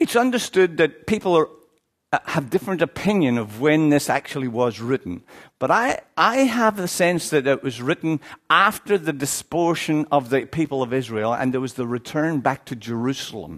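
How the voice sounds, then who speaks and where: A man with an Irish accent speaks at a moderate pace in a fairly high pitch with very wide pitch swings, his sound dry and close with no echo on a very clean recording against a silent background. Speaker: Baptist church leader, visiting preacher. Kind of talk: sermon. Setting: church.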